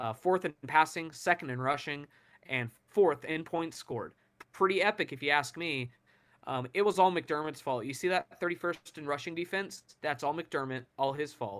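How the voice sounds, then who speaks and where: The man's voice sits fairly high, and its pitch varies in an ordinary way. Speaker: sports podcast co-host. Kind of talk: casual sports chat. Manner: fast; sarcastic, joking.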